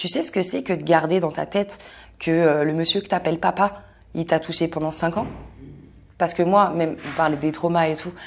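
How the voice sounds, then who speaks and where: On a very clean recording with a silent background, a woman with a fairly low pitch speaks at a moderate pace in a monotone, flat intonation. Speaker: content creator. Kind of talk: testimony.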